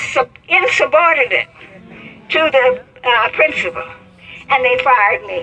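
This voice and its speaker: Against noticeable background noise, a woman with an American accent uses a raised, projected voice at a high pitch, with long, frequent pauses. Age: 80s+. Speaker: civil rights activist and retired teacher. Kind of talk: interview answer.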